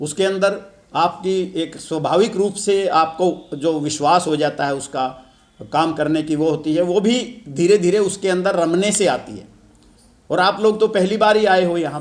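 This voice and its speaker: This is a man with a high-pitched voice. His pitch varies an ordinary amount. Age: 70s. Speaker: event organizer addressing students. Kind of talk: speech to students at an event.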